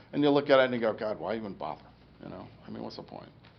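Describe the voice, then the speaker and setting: Room echo is audible around this man. He talks at a very fast pace. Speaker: stroke survivor giving a talk. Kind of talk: public talk. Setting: lecture room with audience. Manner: halting speech after stroke.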